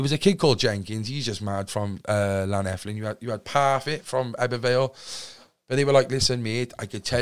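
Speaking with a Cardiff accent, a man keeps a fairly quick pace and ordinary pitch variation. The recording is very clean, with a silent background. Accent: Cardiff Welsh English. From Wales, Cardiff. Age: 20s. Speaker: podcaster and recovering addict. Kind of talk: casual interview chat.

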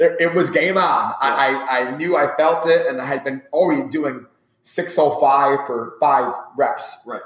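A man's ordinary speaking voice, fairly high in pitch, fairly even in intonation and fairly slow. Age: 40s. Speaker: strength and conditioning coach. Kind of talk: casual interview.

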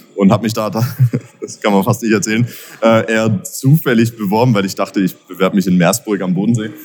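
Music plays in the background behind a man. He speaks at a moderate pace with a fairly low pitch. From Baden-Württemberg, between Pforzheim and Karlsruhe. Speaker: entrepreneur, event organiser. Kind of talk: interview. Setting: at a live event venue. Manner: many filler sounds (äh, ähm).

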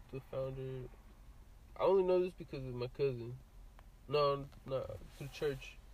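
A man talks at a fairly slow pace with long, frequent pauses. His voice is somewhat breathy, with fairly even intonation. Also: fairly high pitch for a man. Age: 20s. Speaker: podcast guest, construction worker. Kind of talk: casual chat.

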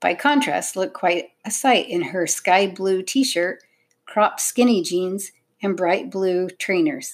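The background has no noise to speak of. Over it, someone reads aloud in a natural voice.

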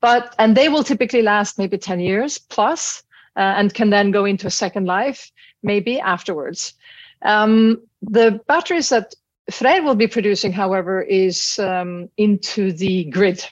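A woman speaks with a Norwegian accent and ordinary pitch variation. The background is quiet. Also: medium pitch for a woman, fairly slow pace. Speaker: business executive. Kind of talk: interview. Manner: animated.

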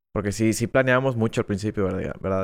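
A man talks at a fairly low pitch. The recording is very clean, with a silent background. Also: dry, close sound with no echo. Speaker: film podcast co-host. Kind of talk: casual chat. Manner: loud.

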